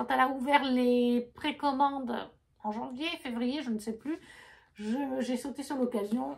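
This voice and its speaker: Speaking with a non-native accent, a woman uses a high pitch and ordinary pitch variation at a moderate pace. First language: not French (speaking French). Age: 30s. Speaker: book vlogger. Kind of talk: casual chat. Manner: halting.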